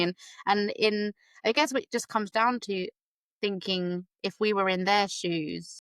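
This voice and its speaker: The speaker has a British accent and talks at a moderate pace, with a dry, close sound with no echo. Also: woman. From UK. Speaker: special education teacher, podcast host. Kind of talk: casual interview chat.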